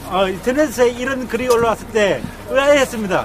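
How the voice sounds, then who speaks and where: Background noise is noticeable as a man talks at an extremely high pitch. He keeps ordinary pitch variation and a moderate pace. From Korea, Andong, North Gyeongsang. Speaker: citizen speaker at a rally. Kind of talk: public speech at a rally. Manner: halting.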